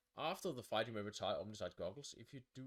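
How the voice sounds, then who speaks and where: Here is a man with a Danish accent. He speaks with lively intonation. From Denmark. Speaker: board game reviewer. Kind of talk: game overview, thinking aloud. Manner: halting.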